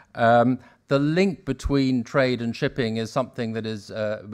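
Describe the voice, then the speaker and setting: Over a quiet background, a man speaks at a moderate pace with ordinary pitch variation. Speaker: panel moderator. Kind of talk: moderator introduction. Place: hall. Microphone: podium.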